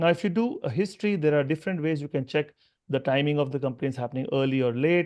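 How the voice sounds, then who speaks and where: At a very fast pace, a man talks in a fairly high voice with ordinary pitch variation. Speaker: orthopaedic surgeon. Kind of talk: lecture.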